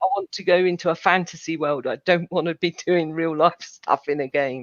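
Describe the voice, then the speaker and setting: With a plain, everyday voice, a woman speaks at a moderate pace in a fairly low pitch with fairly even intonation, the sound dry and close with no echo. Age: 60s. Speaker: gamer and podcaster. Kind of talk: casual chat.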